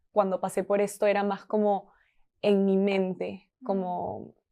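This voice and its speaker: Against a quiet background, a woman speaks very slowly at a medium pitch, with a dark, mellow tone and monotone, flat intonation. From Peru. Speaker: marketing team member. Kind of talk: podcast interview answer.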